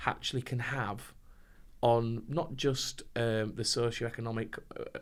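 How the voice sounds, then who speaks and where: In a northern English accent, a man with a medium pitch speaks in a flat monotone on a very clean recording with a silent background. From northern England. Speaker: compliance trainer. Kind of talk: podcast interview.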